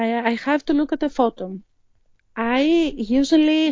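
The woman speaks with a Greek accent at a fairly slow pace. Her pitch variation is ordinary. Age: 40s. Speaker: hobby artist, coloring enthusiast. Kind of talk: interview conversation. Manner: halting.

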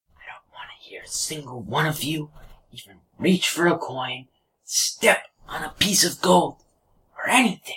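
In a raspy, whispering put-on character voice, the speaker keeps a moderate pace broken by long, frequent pauses. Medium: actual play. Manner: blunt, crude.

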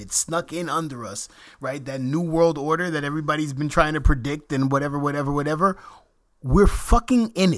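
This is an ordinary speaking voice. A man with an American accent and fairly high pitch talks at a fairly quick pace with ordinary pitch variation. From New York. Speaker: podcast co-host. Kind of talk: casual chat.

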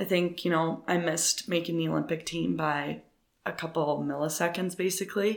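This woman has a fairly low pitch, vocal fry, and a Canadian accent. Her intonation is fairly even, her loudness very even, and her pace fairly quick. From Canada, Ontario. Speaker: professional runner. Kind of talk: interview.

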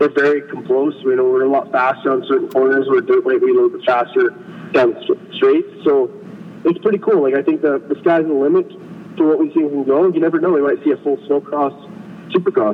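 A man with a Western Canadian accent at a fairly quick pace, amid noticeable background noise. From British Columbia, Canada. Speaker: snow bike racer. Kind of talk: interview. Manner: casual, laid-back.

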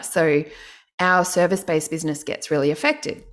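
A woman's very deep, low voice with ordinary pitch variation, in a very clean recording over a silent background. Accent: Australian. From Australia, Canberra. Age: 40s. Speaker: online course business coach. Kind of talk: casual interview chat.

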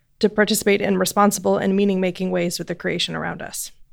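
Using vocal fry, a woman talks at a very fast pace in a medium pitch. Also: very clean recording, silent background. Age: 20s. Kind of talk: reading an essay aloud.

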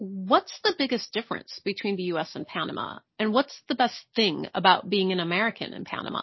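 Speaking at a fairly quick pace with hardly any pauses, a woman uses an unremarkable speaking voice of medium pitch and ordinary pitch variation. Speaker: podcast host. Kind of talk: interview.

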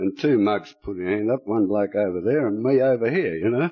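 This man speaks with an Australian accent. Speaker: retired pensioner, recovering alcoholic speaker. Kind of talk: testimony. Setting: stage with audience.

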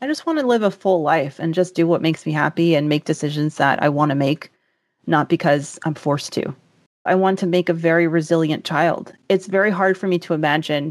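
A woman with a fairly low pitch has an unremarkable speaking voice, talking at a fairly quick pace with ordinary pitch variation. The recording is very clean with a silent background, and her loudness stays very even. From US South. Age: 30s. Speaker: podcast host and personal finance journalist. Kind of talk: casual interview chat.

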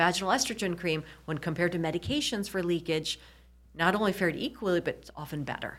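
On a very clean recording with a silent background, a woman in a normal speaking voice talks at a fairly quick pace, with fairly low pitch, ordinary pitch variation and big swings in loudness. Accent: American. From US Midwest, Michigan. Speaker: urologist. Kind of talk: interview.

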